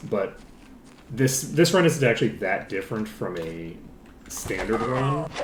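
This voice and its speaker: Amid audible room echo, a man at medium pitch speaks at a fairly slow pace with very wide pitch swings and long, frequent pauses. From Ireland. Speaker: video game streamer. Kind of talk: live gameplay commentary. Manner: casual, rambling with fillers.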